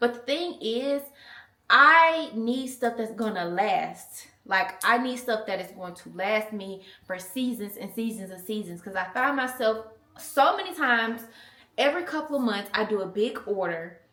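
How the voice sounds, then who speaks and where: A woman speaks with an American accent in a fairly high pitch, her tone animated and her intonation lively. There is audible room echo. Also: moderate pace. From US South. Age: 20s. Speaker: mom vlogger. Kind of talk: casual chat. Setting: in a car.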